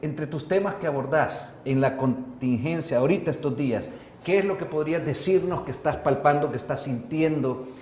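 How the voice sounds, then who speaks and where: A man with a fairly high pitch speaks at a fairly slow pace with hardly any pauses and ordinary pitch variation. Room echo is audible. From El Salvador. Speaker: journalist and TV host. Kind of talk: interview. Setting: studio.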